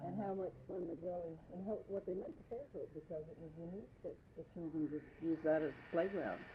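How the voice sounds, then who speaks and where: Hardly pausing, a woman speaks at a fairly quick pace and fairly low pitch, with ordinary pitch variation and big swings in loudness. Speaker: interviewer. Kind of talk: interview questions.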